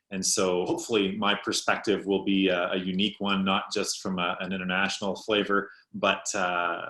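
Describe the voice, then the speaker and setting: This man has a Canadian accent and a fairly low pitch. His tone is bright and sharp, and he speaks at a fairly quick pace. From Canada, Ontario. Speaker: pastor. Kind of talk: panel discussion.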